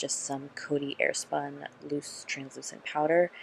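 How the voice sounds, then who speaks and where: A woman speaks softly. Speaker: beauty vlogger. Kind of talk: makeup tutorial. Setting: home, filming late at night. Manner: soft-spoken; quiet, ASMR-like.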